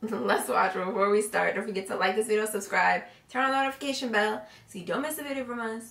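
Audible room echo surrounds a woman's voice. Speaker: reaction channel co-host. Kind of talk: casual vlog chat. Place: home room. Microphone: earbuds.

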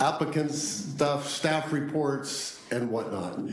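Audible room echo around a male speaker. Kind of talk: formal meeting tribute remarks. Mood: warm, appreciative. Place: hall. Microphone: podium.

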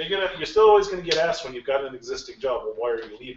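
Light background noise and audible room echo surround the recording. A man speaks at a very fast pace. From Alaska (rural bush). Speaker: games industry executive; guest lecturer. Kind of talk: lecture. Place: classroom. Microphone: camera far.

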